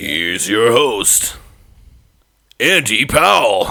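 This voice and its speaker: A raspy put-on character voice from a man at medium pitch and a very slow pace. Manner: smooth, announcer-like.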